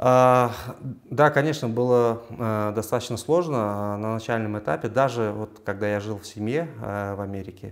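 A man speaks in a normal speaking voice, fairly low in pitch, at a fairly slow pace with ordinary pitch variation. His loudness swings widely against a quiet background. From Uzbekistan, Samarkand; Uzbekistan. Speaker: physicist and university assistant lecturer; university assistant lecturer. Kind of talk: interview. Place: office. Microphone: lapel.

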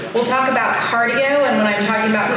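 A woman is speaking. There is noticeable background noise and a strong room echo. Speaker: conference presenter. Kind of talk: lecture. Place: hall.

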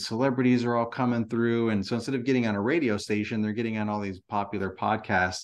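With a plain, everyday voice, a man speaks at a fairly quick pace and medium pitch. The intonation is fairly even and the background is quiet. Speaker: lawn care business owner and podcaster. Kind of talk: casual interview. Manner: repetitive, filler-heavy speech.

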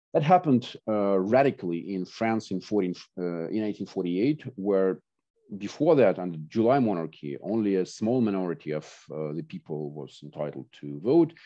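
A man with a Russian accent at a fairly low pitch, with very wide pitch swings and big swings in loudness against a quiet background. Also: moderate pace. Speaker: professor of political philosophy. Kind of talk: academic lecture. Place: home room. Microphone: video call.

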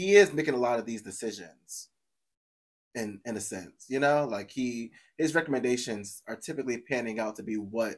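At a moderate pace, the speaker uses lively intonation and big swings in loudness. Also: man, quiet background. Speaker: reaction video host. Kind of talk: casual reaction commentary. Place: home room.

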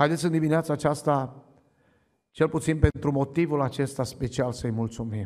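Fairly even intonation comes at a moderate pace over a quiet background. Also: man. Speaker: preacher. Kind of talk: sermon. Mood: fervent, thankful. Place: church. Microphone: podium.

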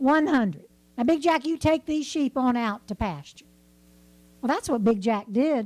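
A woman speaks in a high pitch at a moderate pace. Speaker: storyteller. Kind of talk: traditional folk tale told to a live audience. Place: stage. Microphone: handheld.

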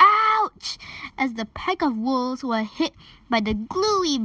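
Natural voice, reading aloud

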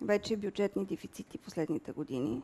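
Lively intonation from a woman with a dark, mellow tone. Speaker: central bank board member. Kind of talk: panel discussion. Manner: halting, many filler sounds. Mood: calm, analytical. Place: studio. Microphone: headset.

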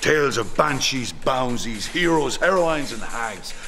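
A man talks at a moderate pace, his pitch swinging very widely. Clear music plays in the background. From west of Ireland. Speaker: storyteller. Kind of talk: promotional storytelling trailer. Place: stage.

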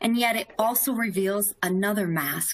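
Speaking at a fairly slow pace, a woman uses a fairly high pitch and a bright, sharp tone. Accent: American. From US South. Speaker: corporate vice president, webinar moderator. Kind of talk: webinar presentation. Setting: live webinar stream.

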